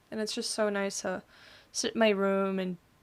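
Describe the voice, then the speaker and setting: The recording is very clean, with a silent background. A woman speaks at a medium pitch in a flat, monotone way. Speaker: podcast host. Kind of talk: casual solo podcast monologue.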